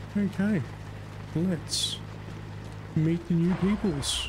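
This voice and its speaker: A man speaks with an Australian accent. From Australia, Brisbane, Queensland. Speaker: gaming streamer. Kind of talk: live gameplay commentary.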